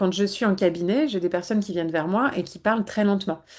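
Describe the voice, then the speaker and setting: A woman of medium pitch speaks fairly quickly, with ordinary pitch variation. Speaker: psychologist. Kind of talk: webinar talk. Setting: online webinar. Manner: fast.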